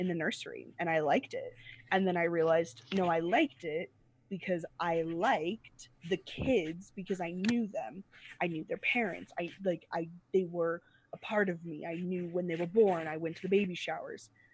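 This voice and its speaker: Here a woman speaks at a fairly low pitch. Her intonation stays fairly even. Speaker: preacher. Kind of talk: casual chat. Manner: fast.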